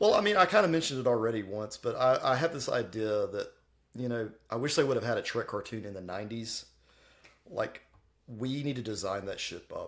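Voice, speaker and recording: A man with a plain, everyday voice talks fairly quickly at a medium pitch with lively intonation. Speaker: podcast co-host. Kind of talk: casual chat.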